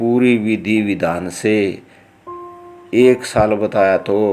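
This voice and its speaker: A man's fairly low voice with a Haryana accent, music in the background. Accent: Haryanvi. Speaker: lawyer. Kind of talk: religious book narration in dialect.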